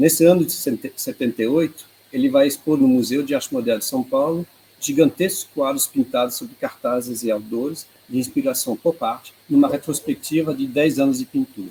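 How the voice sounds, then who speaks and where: A man with a Swiss accent speaks at a fairly high pitch. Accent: non-native Portuguese, Swiss. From Switzerland, Geneva. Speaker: art researcher, presenter. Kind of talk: online presentation. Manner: halting.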